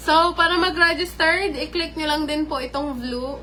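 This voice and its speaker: A woman raises and projects her high voice, her intonation lively throughout. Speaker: live-stream vlogger. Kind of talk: live stream chat with viewers. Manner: polite, uses po constantly.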